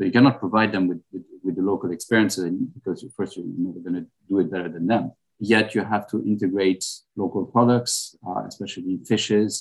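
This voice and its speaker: Spoken with a French accent, the words come at a moderate pace with ordinary pitch variation. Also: man. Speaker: restaurant owner. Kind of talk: casual interview over lunch. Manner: halting, with fillers and repeats.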